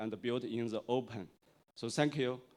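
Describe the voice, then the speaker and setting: A man with a Chinese accent on a very clean recording with a silent background. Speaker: tech industry executive, conference speaker. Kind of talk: conference keynote. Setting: stage with audience. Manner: halting, many fillers.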